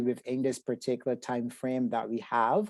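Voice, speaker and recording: In a Barbadian accent, a man speaks with a dark, mellow tone. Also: quiet background. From Barbados. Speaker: psychotherapist. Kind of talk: webinar presentation. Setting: video call.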